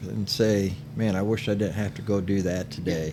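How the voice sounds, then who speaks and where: The voice has a dark, mellow tone, with audible room echo. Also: man. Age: 60s. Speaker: cigar shop owner and podcast co-host. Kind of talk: casual chat.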